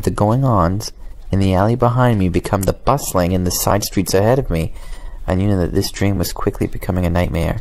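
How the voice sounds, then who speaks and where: Noticeable background noise sits behind a man who talks at a fairly quick pace with ordinary pitch variation and very even loudness. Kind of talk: horror story reading. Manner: calm, inviting.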